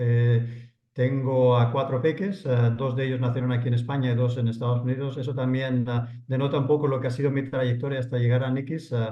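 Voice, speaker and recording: Somewhat breathy and monotone, with flat intonation, a man speaks at a fairly quick pace amid audible room echo. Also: medium pitch for a man. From Spain, Barcelona. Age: 50s. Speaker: entrepreneur. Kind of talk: podcast interview. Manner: hesitant, many fillers.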